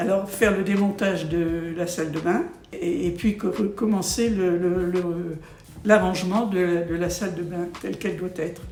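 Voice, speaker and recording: Against noticeable background noise, a woman speaks at a fairly slow pace with a medium pitch and fairly even intonation. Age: 80s+. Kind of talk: interview answer. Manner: hesitant.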